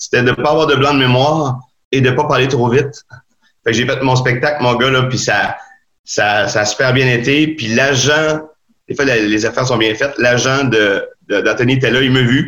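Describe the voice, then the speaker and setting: With a Quebec accent, a man speaks at a moderate pace and medium pitch, keeping fairly even intonation and very even loudness while taking long, frequent pauses. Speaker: stand-up comedian. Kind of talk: casual interview chat.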